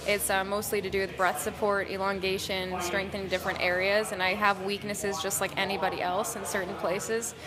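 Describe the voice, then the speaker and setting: A woman's medium-pitched, flat, monotone voice at a fairly quick clip with hardly any pauses, plus audible room echo and noticeable background noise. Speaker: rock band singer. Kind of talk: interview. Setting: music festival.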